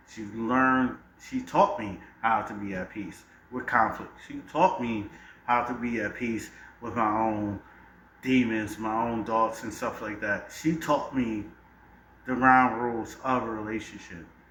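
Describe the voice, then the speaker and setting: Speaking at a medium pitch and a fairly slow pace, a man's loudness swings widely while audible room echo hangs around the recording. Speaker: debate panelist. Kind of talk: heated debate. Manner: animated.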